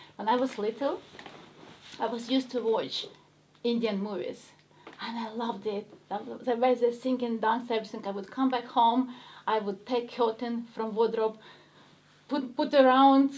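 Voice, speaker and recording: A woman with a strong Ukrainian accent speaks at a high pitch and moderate pace, her intonation monotone and flat, with long, frequent pauses. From Ukraine. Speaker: actress. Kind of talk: interview chat.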